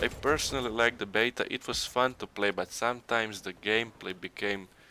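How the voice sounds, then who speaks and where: A man with a non-native accent and medium pitch speaks at a fairly quick pace with fairly even intonation. His tone is bright and sharp, in a very clean recording with a silent background. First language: not English. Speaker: gaming YouTuber. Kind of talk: gameplay commentary. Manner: halting.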